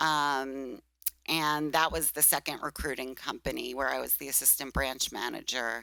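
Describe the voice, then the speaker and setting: In a Brooklyn accent, a woman speaks at a moderate pace with a very deep, low pitch, a bright, sharp tone and monotone, flat intonation, on a very clean recording with a silent background. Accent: Brooklyn accent, still noticeable. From Brooklyn, New York. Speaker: recruitment business owner. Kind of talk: interview. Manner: hesitant, many fillers.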